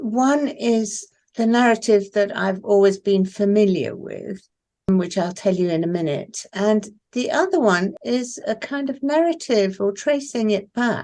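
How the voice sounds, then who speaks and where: Here a woman speaks with a fairly high pitch in an RP accent. Her tone is dark and mellow, and her intonation lively. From southern England (Isle of Wight boarding school), born in Iran. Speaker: poet. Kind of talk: interview.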